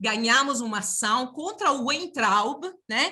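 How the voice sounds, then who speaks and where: A woman speaks at a fairly slow pace in a bright, sharp tone. Her pitch swings very widely. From outside Brazil. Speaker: university professor and union director. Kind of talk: panel opening remarks. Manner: halting, many fillers.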